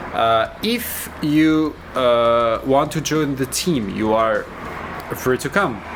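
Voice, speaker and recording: Someone with a non-native accent talks at a very slow pace, with ordinary pitch variation. Noticeable background noise sits under the speech. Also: man, medium pitch for a man. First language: not English. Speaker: hobbyist overclocker, channel owner. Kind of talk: casual tech vlog. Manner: halting, many fillers.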